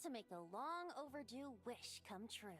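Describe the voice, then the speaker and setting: A cartoonish character voice, female-sounding and high-pitched, moves at a moderate pace over clear background noise. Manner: light, teasing.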